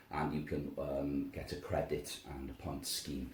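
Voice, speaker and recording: With a Welsh accent, a man speaks very slowly in a very deep, low voice, amid noticeable background noise and audible room echo. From Wales. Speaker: language school director. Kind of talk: interview.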